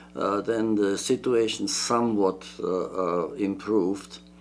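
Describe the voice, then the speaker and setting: A man's fairly low voice at a very slow pace, with ordinary pitch variation. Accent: Czech. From Czechoslovakia. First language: Czech. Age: 80s+. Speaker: retired engineering professor. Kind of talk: interview. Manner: halting.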